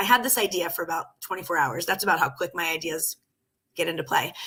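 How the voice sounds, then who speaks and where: Her tone bright and sharp, a woman speaks at a fairly quick pace with very wide pitch swings. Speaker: life coach. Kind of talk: casual livestream chat. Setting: live video stream. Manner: fast.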